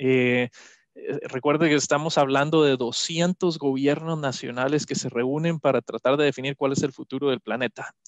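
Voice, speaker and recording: Heard in a dry, close sound with no echo, a man talks at a fairly quick pace with a fairly high pitch and fairly even intonation. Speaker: climate policy expert. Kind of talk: interview answer at online conference. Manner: hesitant, many filler sounds.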